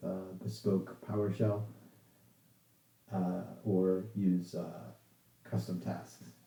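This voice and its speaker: In a room with audible echo, a man talks with a very deep, low pitch, a dark, mellow tone and ordinary pitch variation. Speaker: software developer giving a talk. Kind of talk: casual chat with online audience; technical presentation. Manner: halting, many fillers.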